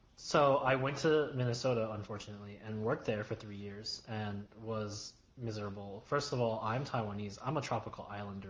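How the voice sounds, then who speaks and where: A man's fairly low voice with an American accent, fairly quick with hardly any pauses, ordinary pitch variation and big swings in loudness, over noticeable background noise. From New York, US. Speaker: YouTuber. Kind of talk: casual chat.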